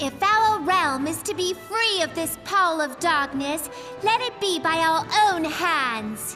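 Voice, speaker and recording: A cartoonish character voice at an extremely high pitch plays against clear music in the background. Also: fairly slow pace. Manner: hearty, commanding.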